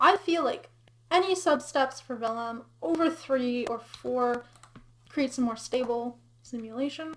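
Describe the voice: A woman talks at a fairly slow pace. Her pitch is high, with ordinary variation.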